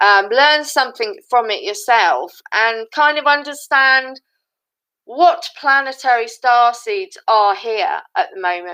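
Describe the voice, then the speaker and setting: At a very slow pace, a woman speaks in a high, bright, sharp voice that is raised and projected, with very wide pitch swings. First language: not English. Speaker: spiritual coach and psychic medium. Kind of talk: live stream monologue. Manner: halting.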